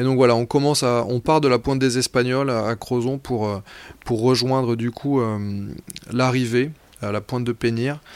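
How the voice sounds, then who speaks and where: The speech comes in a monotone, flat intonation broken by long, frequent pauses. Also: man, medium pitch for a man, moderate pace. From Brittany, France. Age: 30s. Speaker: amateur athlete and adventurer. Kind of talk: personal testimony narration. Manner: halting, with frequent repetitions and fillers.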